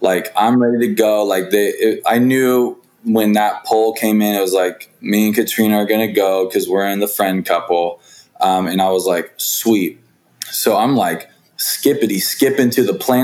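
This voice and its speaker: Someone with an American accent and a normal speaking voice talks at a moderate pace. Intonation is fairly even, and loudness stays very even. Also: man. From US West Coast. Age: 20s. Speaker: reality TV contestant. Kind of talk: casual chat.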